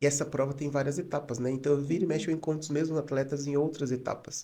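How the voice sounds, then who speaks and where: Soft-spoken and somewhat breathy, a man talks in a calm tone with a dark, mellow quality. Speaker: psychologist and photographer. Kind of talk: podcast interview.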